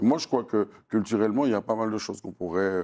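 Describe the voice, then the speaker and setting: This man's voice is fairly low in pitch with a dark, mellow tone. He talks at a very fast pace. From Martinique, Fort-de-France; Martinique. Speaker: singer-songwriter and storyteller; interviewee. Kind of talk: interview. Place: studio.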